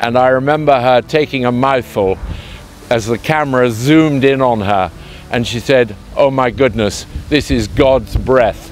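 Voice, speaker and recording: Music plays in the background. A man with a southern English accent speaks at a fairly slow pace. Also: medium pitch for a man, ordinary pitch variation. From southern England (Hertfordshire). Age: 60s. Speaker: truffle grower, company co-founder. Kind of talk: interview. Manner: hesitant, many fillers.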